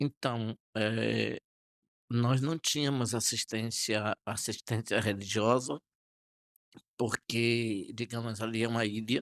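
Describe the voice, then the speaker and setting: A man with a medium pitch speaks very slowly with fairly even intonation and long, frequent pauses. The recording is very clean with a silent background and a dry, close sound with no echo. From Brazil, Bahia (Salinas da Margarida, Bay of All Saints). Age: 60s. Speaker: archbishop. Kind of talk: interview testimony. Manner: calm, serene; hesitant, with fillers.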